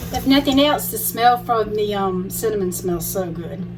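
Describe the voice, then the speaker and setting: Fairly slow speech from a woman with an American accent, audible room echo and music in the background. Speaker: cooking vlogger. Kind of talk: tutorial. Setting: home kitchen. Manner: mumbling; trying to talk loud.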